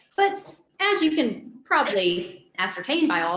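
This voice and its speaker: A woman with a South Carolina accent, bright and sharp in tone, with very wide pitch swings, a fairly slow pace and audible room echo. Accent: Southern US (South Carolina). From South Carolina, US South. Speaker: guest speaker. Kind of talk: personal testimony talk. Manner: casual, conversational.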